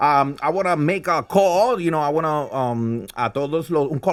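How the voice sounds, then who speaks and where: A male voice is heard. It sits fairly high in pitch. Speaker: podcast host and event hype man. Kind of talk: casual bilingual interview. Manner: code-switching Spanish and English; energetic.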